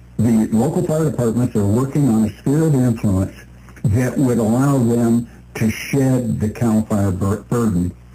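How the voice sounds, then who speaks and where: Amid noticeable background noise, a man speaks at a fairly slow pace in a medium pitch, with ordinary pitch variation and very even loudness. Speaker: radio show co-host. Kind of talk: radio talk show. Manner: stutters.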